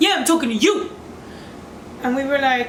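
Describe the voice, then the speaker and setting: A loud, animated voice comes through with audible room echo and noticeable background noise. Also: woman. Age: young. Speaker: YouTuber. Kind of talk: storytime vlog.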